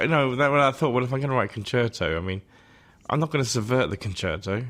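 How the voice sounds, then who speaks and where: On a very clean recording with a silent background, someone with an English accent talks at a very fast pace with lively intonation. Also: man, medium pitch for a man. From England. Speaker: composer. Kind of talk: interview.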